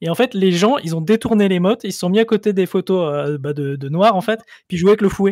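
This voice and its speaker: A man talks at a fairly quick pace and high pitch with ordinary pitch variation, in a dry, close sound with no echo on a very clean recording with a silent background. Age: 30s. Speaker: content creator. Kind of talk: casual chat.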